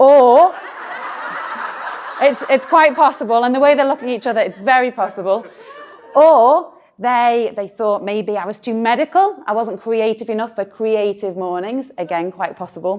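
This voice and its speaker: A woman with a Merseyside accent talks at a moderate pace in a fairly high pitch, her intonation lively. Noticeable background noise runs beneath her. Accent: northern English (Merseyside). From northern England, Birkenhead. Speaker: doctor and talk speaker. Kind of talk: live talk to an audience. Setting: stage with audience. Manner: animated.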